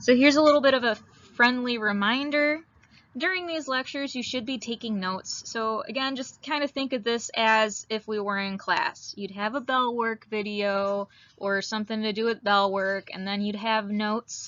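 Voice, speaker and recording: A woman with a northern Midwestern US accent speaks at a moderate pace, her fairly high pitch showing ordinary variation. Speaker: high school biology teacher. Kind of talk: recorded lecture. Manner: casual with frequent fillers.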